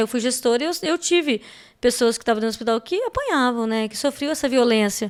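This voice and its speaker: At a fairly quick pace, a woman talks with a high pitch in a very clean recording with a silent background. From Espírito Santo, Brazil. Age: 40s. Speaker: political candidate, former health manager. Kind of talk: podcast interview.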